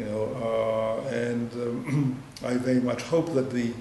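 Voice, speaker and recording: A man with a Greek accent speaks at a medium pitch and with fairly even intonation. Noticeable background noise runs underneath. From Greece. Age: 60s. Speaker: EU ombudsman. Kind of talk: interview answer.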